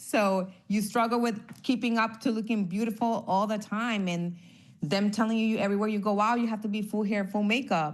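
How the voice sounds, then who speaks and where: A woman with a Spanish accent, fairly high pitch, fairly even intonation and moderate pace, with audible room echo. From Honduras. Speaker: former NFL cheerleader. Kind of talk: casual interview.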